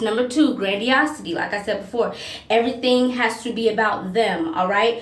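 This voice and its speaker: Speaking with an American accent at a fairly high pitch and moderate pace, a woman is heard through noticeable background noise and audible room echo. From US South. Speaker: self-help video host on narcissism and empaths. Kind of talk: monologue video talk. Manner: occasionally tongue-tied.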